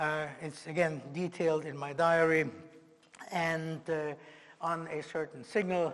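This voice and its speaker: At a fairly slow pace, a man speaks with fairly high pitch and a monotone, flat intonation. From Germany and Austria. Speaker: Holocaust survivor. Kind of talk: lecture testimony.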